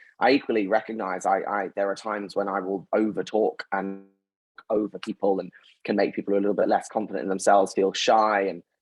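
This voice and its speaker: A man with a London accent at a very fast pace, fairly low in pitch with fairly even intonation, dry and close with no echo, music in the background. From North London, England. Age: 20s. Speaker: company founder and CEO. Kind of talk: interview.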